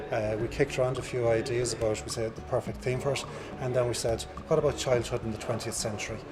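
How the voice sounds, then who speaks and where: A man with an Irish accent talks at a very fast pace with ordinary pitch variation. Room echo is audible, and there is noticeable background noise. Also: medium pitch for a man. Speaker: museum curator. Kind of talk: interview at exhibition opening. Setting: museum exhibition. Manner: halting.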